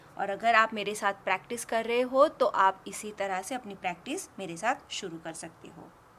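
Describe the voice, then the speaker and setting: A woman with a bright, sharp tone talks at a moderate pace and medium pitch, barely pausing. Her loudness swings widely while her pitch varies in an ordinary way. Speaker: henna art teacher. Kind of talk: tutorial.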